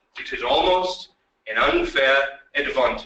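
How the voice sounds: A man's slow speech, bright and sharp in tone, with ordinary pitch variation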